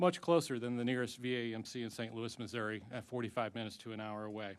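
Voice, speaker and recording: A man's intonation stays fairly even as he races along at a very fast pace. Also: medium pitch for a man. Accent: American. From Ozarks. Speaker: veterans advocate witness. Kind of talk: formal testimony. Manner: formal.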